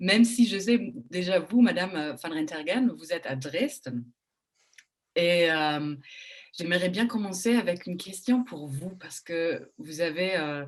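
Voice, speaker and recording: A woman with a German accent speaks at a very slow pace. Her loudness swings widely. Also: fairly low pitch for a woman, lively intonation. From Germany. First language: German (speaking French). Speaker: journalist moderating a panel. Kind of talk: panel moderation. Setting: online panel in front of a screen. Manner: hesitant, many fillers.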